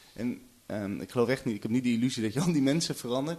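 Speaking very fast, a man keeps to a medium pitch. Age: 20s. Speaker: journalist. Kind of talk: casual chat.

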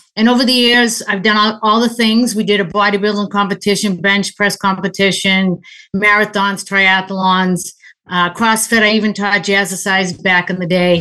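With a Boston accent, a woman at medium pitch has a bright, sharp tone, monotone, flat intonation and very even loudness. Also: moderate pace. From Boston area. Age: 60s. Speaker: endurance athlete and listener caller. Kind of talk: casual Q&A conversation. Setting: video call.

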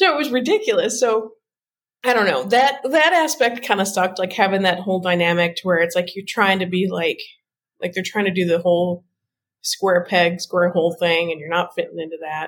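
A woman's medium-pitched voice with a Midwestern accent, lively intonation and a fairly quick pace. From US Midwest. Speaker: tarot deck creator. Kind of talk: casual interview.

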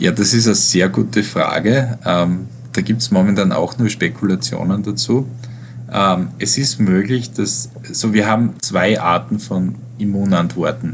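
A man with a fairly low pitch speaks at a fairly slow pace, his pitch swinging very widely amid noticeable background noise. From Austria, Styria. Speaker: virologist and professor. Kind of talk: interview. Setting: online interview. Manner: hesitant, many filler sounds. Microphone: poor sound quality.

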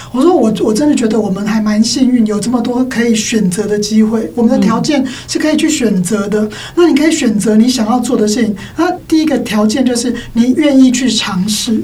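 Fairly high female pitch with ordinary variation, delivered at a fairly quick pace amid audible room echo and noticeable background noise. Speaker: schoolteacher and parenting author. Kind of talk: casual chat.

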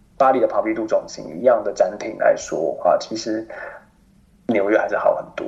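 A man is speaking. His pace is fairly quick. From Taiwan. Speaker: expatriate professional in France. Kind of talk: interview. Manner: animated; halting.

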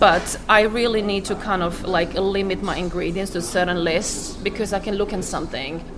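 A woman is speaking with noticeable background noise. Audible room echo surrounds her voice. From Croatia. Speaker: cafe and restaurant owner. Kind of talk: casual chat. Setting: cafe. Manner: fast; swallows words.

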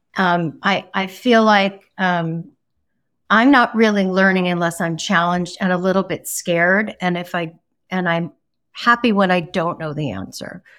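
Over a very clean recording with a silent background, a woman talks in an ordinary speaking voice at medium pitch, with ordinary pitch variation and a moderate pace. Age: 60s. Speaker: interior design executive. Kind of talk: interview.

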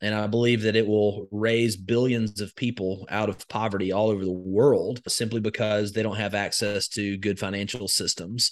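With an Alabama accent, a man speaks at a moderate pace in a fairly low, flat, monotone voice. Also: hardly any pauses, quiet background. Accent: Southern US (Alabama). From US South, rural Alabama. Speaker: crypto educator and investor. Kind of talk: interview.

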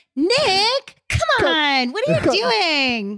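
The voice is pitched high. It is a put-on character voice. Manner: impersonating sister's way of speaking, scolding.

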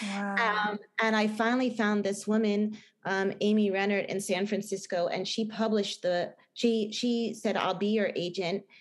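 A woman's medium-pitched voice holds a very even loudness and a monotone, flat intonation at a moderate pace. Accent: New Jersey. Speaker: film director and novelist. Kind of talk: interview. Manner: halting, many fillers and restarts.

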